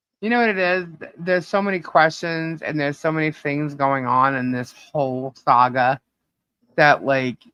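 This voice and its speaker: A speaker with a New York accent talks at a moderate pace. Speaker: livestream host. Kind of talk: casual livestream chat. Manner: blunt.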